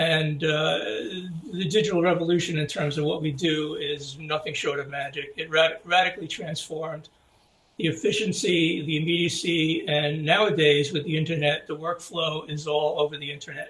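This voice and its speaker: A fairly high-pitched man speaks at a moderate pace with fairly even intonation amid noticeable background noise. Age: 70s. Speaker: graphic designer. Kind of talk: interview. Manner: halting, many fillers.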